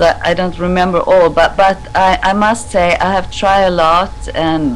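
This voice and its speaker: Noticeable background noise runs behind speech delivered very slowly. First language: non-English. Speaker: skin care business owner. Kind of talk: casual chat. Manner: halting.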